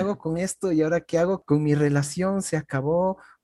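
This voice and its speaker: A man with a fairly high pitch and a dark, mellow tone speaks at a moderate pace, the sound dry and close with no echo. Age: 30s. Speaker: podcast host. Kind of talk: casual chat.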